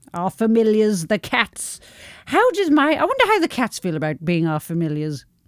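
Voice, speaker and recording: Recorded dry and close with no echo, a woman with a British accent speaks at a moderate pace in a fairly high pitch that swings very widely. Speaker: podcast co-host. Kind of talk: casual chat. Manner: animated.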